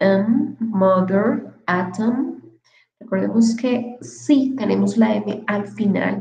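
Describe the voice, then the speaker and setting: A woman with a Spanish accent speaks at a very slow pace in a fairly high, dark, mellow voice with vocal fry. Her pitch variation is ordinary, and audible room echo surrounds her. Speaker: English teacher. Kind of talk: online lecture.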